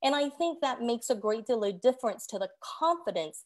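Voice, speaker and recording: In a very clean recording with a silent background, a voice with a Korean accent talks at a fairly quick pace with lively intonation. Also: woman. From South Korea. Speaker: judicial candidate. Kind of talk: candidate forum answer.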